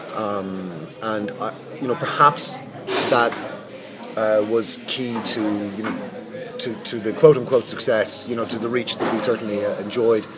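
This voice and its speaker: A man at medium pitch with an Irish accent, fairly slow pace, fairly even intonation, and noticeable background noise. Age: 40s. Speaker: media executive. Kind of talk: interview. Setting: hotel lobby with background noise. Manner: hesitant, many fillers.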